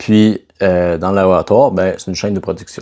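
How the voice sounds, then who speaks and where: A man's fairly low, dark and mellow voice with a Quebec accent at a fairly quick pace. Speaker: fitness coach. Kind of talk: casual vlog talk. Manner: casual, conversational.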